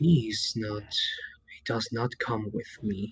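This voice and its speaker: A man growls in a put-on character voice at medium pitch. His pace is very slow. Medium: actual play. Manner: menacing.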